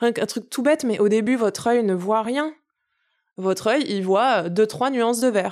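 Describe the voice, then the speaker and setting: A woman talks at a fairly slow pace with ordinary pitch variation on a very clean recording with a silent background. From Paris suburbs, Essonne. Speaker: farmer and environmental activist. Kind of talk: casual interview conversation.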